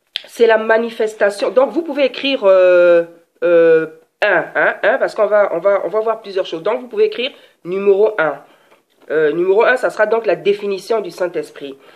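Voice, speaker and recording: A woman talks in a normal speaking voice at a medium pitch for a woman and a moderate pace. Her intonation is lively. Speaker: preacher. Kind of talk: sermon.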